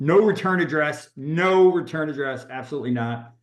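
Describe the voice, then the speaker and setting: A man with a fairly high pitch speaks at a fairly slow pace, with audible room echo. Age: 60s. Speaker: real estate agent and coach. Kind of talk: workshop talk. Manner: halting.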